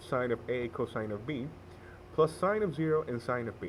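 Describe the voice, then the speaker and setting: A man with a non-native accent, somewhat breathy, at a medium pitch and moderate pace, with lively intonation. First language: not English. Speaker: math tutorial maker. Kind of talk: tutorial. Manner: hesitant, with fillers and self-corrections.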